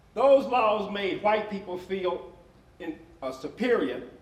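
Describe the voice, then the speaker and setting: A man with an American accent speaks at a very slow pace, high in pitch with lively intonation. Noticeable background noise and audible room echo surround him. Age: 70s. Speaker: panel moderator. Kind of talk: panel discussion. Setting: stage with audience. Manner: halting.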